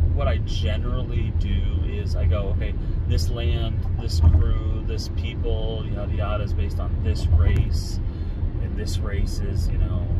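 Loud background noise surrounds a man speaking at a fairly slow pace. His voice sounds dry with no echo. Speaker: vlogger. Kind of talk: casual vlog chat. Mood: relaxed, musing. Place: car. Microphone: phone near.

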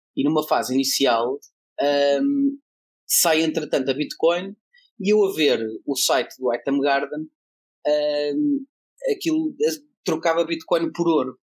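A man speaks at a very slow pace, with long pauses coming often. His voice sits fairly high for a man, with ordinary pitch variation and very even loudness. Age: 30s. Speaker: blockchain association president. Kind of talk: casual chat.

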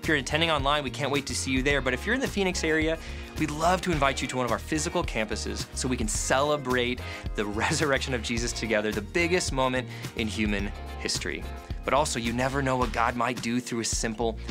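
Someone speaks at a very fast pace with clear music in the background. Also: man. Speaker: church announcement host. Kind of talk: announcements. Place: studio.

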